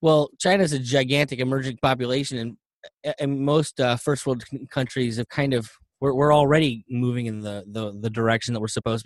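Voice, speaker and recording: An ordinary speaking voice at a fairly quick pace with ordinary pitch variation, dry and close with no echo, over a quiet background. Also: man. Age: 30s. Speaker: environmental podcast host. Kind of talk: casual chat.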